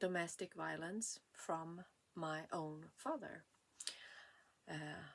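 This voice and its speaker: A woman with a Swedish accent speaks in a fairly low pitch with fairly even intonation. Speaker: vlogger. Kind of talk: personal testimony. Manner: halting.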